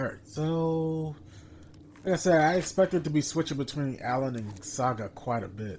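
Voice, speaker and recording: A man with an ordinary speaking voice, fairly high in pitch, at a moderate pace with lively intonation. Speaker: gaming streamer. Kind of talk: let's play commentary.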